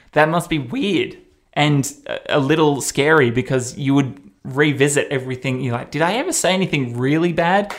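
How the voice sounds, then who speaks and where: The speaker has a slight Australian accent and ordinary pitch variation. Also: man, fairly high pitch for a man, moderate pace. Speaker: radio presenter and podcast host. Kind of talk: casual chat, podcast recap.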